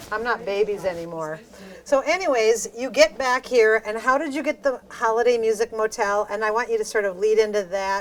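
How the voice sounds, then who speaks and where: A woman with an American accent, fairly high pitch and ordinary pitch variation, at a fairly quick pace amid noticeable background noise. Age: 60s. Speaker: podcast host. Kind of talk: casual interview.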